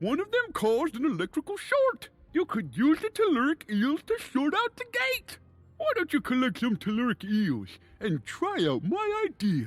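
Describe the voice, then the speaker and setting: Here is a put-on character voice with high pitch. It moves at a moderate pace. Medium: video game. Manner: jovial, chatty.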